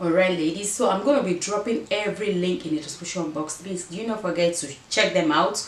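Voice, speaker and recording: With noticeable background noise and audible room echo, a woman speaks at a fairly quick pace in a fairly low voice with ordinary pitch variation. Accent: African. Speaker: fashion vlogger. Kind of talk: try-on haul vlog.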